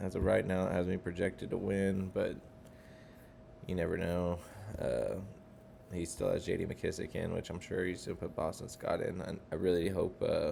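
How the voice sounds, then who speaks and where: A man speaks quietly. His speech has long, frequent pauses. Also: moderate pace. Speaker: fantasy football league member recapping. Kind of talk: casual recap vlog. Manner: quiet, keeping voice down.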